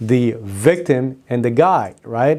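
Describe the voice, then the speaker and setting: A dark, mellow tone with ordinary pitch variation and a non-native accent. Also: man. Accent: noticeable foreign. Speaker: business owner and book reviewer. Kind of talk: casual talk to camera. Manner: enthusiastic.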